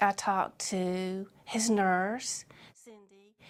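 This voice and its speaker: A woman's voice at medium pitch. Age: 60s. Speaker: surgery patient. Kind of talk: testimony. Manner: halting.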